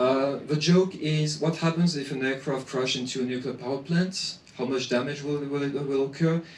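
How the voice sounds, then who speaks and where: Audible room echo and noticeable background noise surround a man with a fairly high pitch, fairly even intonation and a moderate pace. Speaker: association president giving a talk. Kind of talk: presentation. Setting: conference with audience. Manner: hesitant, many fillers.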